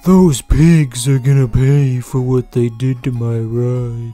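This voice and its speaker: A man's put-on character voice at a medium pitch and fairly slow pace, with faint music in the background. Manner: tough, swaggering.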